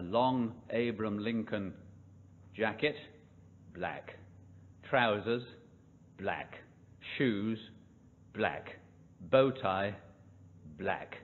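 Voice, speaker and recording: With a British accent, a man speaks at a very slow pace with long, frequent pauses. His intonation is fairly even. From United Kingdom. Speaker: preacher. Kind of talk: sermon. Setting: church.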